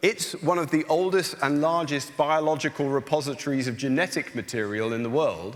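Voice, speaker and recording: At a moderate pace, a man in an English accent speaks with a fairly high pitch and ordinary pitch variation. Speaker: soil scientist. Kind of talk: panel discussion. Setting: stage with audience.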